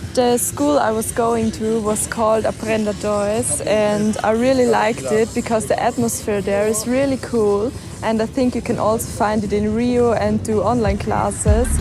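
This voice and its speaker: With noticeable background noise behind her, a woman with a fairly high pitch talks at a moderate pace, with hardly any pauses and fairly even intonation. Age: 20s; young. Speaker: vlogger. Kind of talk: Q&A vlog.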